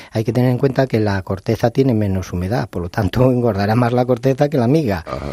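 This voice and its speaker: Delivered at a very fast pace with hardly any pauses, the voice has a dark, mellow tone and ordinary pitch variation over a quiet background. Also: man, medium pitch for a man. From León, Spain. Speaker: baker. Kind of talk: interview.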